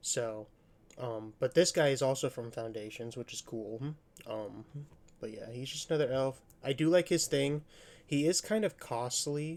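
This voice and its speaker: Soft-spoken and relaxed in tone, a man talks at a moderate pace in a medium pitch with ordinary pitch variation. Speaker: card game content creator. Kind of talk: casual deck overview tutorial. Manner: relaxed, hesitant with fillers.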